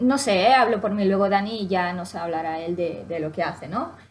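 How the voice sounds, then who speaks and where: A woman speaks with lively intonation and a somewhat breathy voice on a very clean recording with a silent background. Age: 30s. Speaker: language academy co-founder. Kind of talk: interview.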